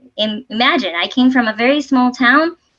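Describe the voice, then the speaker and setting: The speaker is a woman with a Spanish accent. She talks at a fairly quick pace. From Puerto Rico, west coast (Sabana Grande). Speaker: civil engineer, transportation official. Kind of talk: presentation talk.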